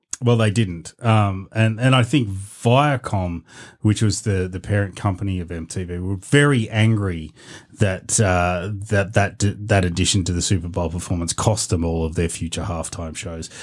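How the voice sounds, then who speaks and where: Speech with an Australian accent and ordinary pitch variation, in a very clean recording with a silent background. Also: man, very deep, low pitch for a man, moderate pace. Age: 40s. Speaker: podcast co-host. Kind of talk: casual chat.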